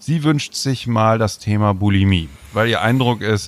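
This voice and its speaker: With ordinary pitch variation, a man talks in a fairly low register. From northern Germany, near Bremen. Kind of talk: casual chat.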